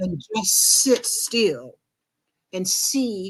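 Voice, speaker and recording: In a quiet background, a woman speaks with lively intonation. Her voice is somewhat breathy and fairly high in pitch. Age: 70s. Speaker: life coach. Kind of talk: interview. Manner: animated.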